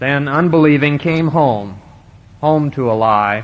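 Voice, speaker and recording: A man with an American accent speaks at a very slow pace. His pitch is medium, with ordinary variation. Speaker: college graduating student giving commencement speech. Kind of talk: commencement address, formal speech to an audience. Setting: live stage recording, 1970 vintage audio.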